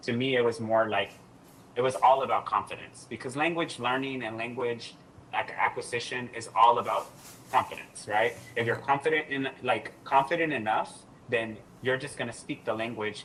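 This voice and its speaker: A man with an American accent speaks at a moderate pace in a medium pitch, his pitch rising and falling in an ordinary way over noticeable background noise. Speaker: doctoral student and former English teaching assistant. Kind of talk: podcast interview. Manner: animated.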